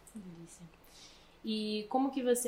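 Over noticeable background noise, a woman speaks in a monotone, flat way at a fairly high pitch. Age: 20s. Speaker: podcast host and missions school leader. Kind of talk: casual interview.

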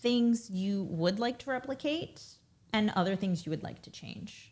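At a moderate pace, a woman with an American accent speaks at medium pitch, somewhat breathy. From Brooklyn, New York. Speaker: business executive and mother. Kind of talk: casual interview. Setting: in the host's home, six feet apart.

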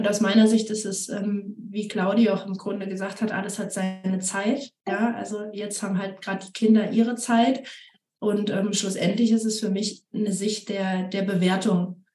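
Big swings in loudness mark this monotone, flat delivery, which moves at a moderate pace. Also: woman, medium pitch for a woman. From Siegen-Wittgenstein, Germany. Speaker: amateur road cyclist and mother. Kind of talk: casual chat.

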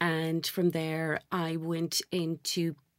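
A woman with an Irish accent speaks at a fairly low pitch. The recording is very clean with a silent background, and the sound is dry and close with no echo. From Ireland. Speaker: sales director. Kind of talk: interview. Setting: studio.

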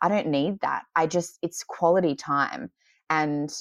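A woman speaks with ordinary pitch variation, and the background is quiet. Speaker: podcast guest sharing her story. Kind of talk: casual chat. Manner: loud, talkative.

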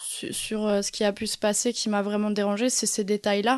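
At a fairly slow pace, a woman speaks with fairly high pitch in a dry, close sound with no echo. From Alsace, France. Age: 30s. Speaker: abuse survivor sharing testimony. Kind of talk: testimony. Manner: halting, repeated words.

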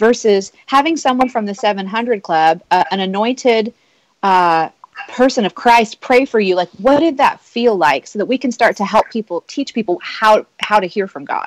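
A woman with an American accent and a fairly high pitch speaks at a moderate pace with lively intonation, in a dry, close sound with no echo. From Nebraska, US Midwest. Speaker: podcast host. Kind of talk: casual chat.

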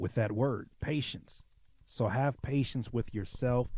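This man has a normal speaking voice at a medium pitch. His pitch varies in an ordinary way, and his pace is moderate. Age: 30s. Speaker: music producer and rapper. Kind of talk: casual chat.

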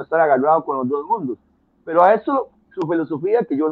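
A man with a normal speaking voice, fairly high in pitch, with lively intonation at a fairly quick pace. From Costa Rica. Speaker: musician and music educator. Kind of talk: interview conversation.

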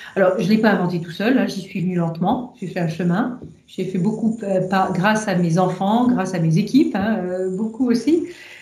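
Audible room echo surrounds a woman speaking at a fairly slow pace, her medium pitch showing ordinary pitch variation. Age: 50s. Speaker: engineer and energy executive. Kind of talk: interview about faith and career. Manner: hesitant, many filler sounds.

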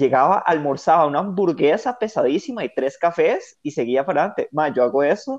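Someone with a Costa Rican accent speaks at a fairly quick pace with hardly any pauses. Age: 30s. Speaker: podcast co-host. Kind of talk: casual chat.

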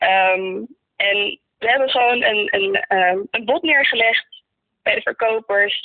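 A woman with a fairly high pitch at a very slow pace. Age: 20s. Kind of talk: faith testimony interview.

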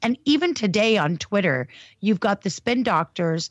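At a moderate pace, a woman talks at a medium pitch in an ordinary speaking voice. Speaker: advocacy group staffer. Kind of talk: casual chat. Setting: video call.

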